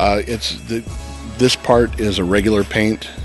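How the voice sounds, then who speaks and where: A man's voice sounds dry with no echo, while clear music plays in the background. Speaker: factory tour guide. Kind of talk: interview answer. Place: factory. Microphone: handheld.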